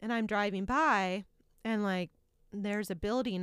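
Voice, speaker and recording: A woman with a plain, everyday voice, ordinary pitch variation, and an American accent. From Indiana, Muncie. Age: 40s. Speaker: television executive producer. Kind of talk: interview.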